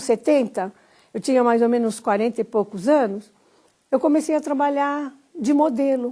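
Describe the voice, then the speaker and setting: High in pitch with a dark, mellow tone, a woman talks at a moderate pace with ordinary pitch variation. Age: 70s. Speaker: grandmother and model. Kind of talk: recorded testimony.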